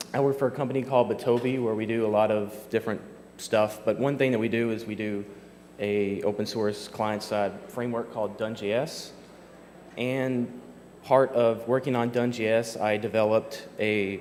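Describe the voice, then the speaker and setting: A man with a Kentucky accent speaks at medium pitch and a moderate pace with monotone, flat intonation, and room echo is audible. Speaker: software developer, conference speaker. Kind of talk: conference talk. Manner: casual with many fillers.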